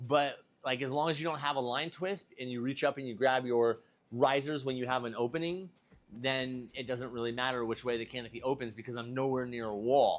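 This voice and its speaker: A plain, everyday voice from a man, medium in pitch, at a fairly quick pace with fairly even intonation. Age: 40s. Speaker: base jumper. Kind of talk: live stream tutorial. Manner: casual.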